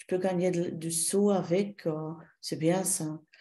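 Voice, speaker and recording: A woman speaks with a slight non-native accent. Her pitch is fairly low. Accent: slight foreign accent in French. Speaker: shiatsu therapist and trainer. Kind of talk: interview. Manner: halting, many hesitations.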